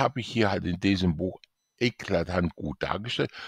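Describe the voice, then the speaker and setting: There is vocal fry in this man's voice. The audio is dry and close, without any echo. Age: 60s. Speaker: author and IT specialist promoting his book. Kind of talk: sales pitch.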